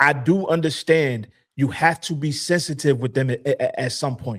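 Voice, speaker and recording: In a very clean recording with a silent background, a man's voice comes through dry and close with no echo. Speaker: podcast panelist. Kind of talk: casual chat. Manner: stern; animated.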